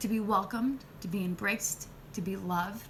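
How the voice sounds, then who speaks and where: Over noticeable background noise, a woman with a Spanish accent speaks at a medium pitch with ordinary pitch variation. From Spanish-speaking country. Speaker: nurse and spiritual healer. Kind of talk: live video chat. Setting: live stream.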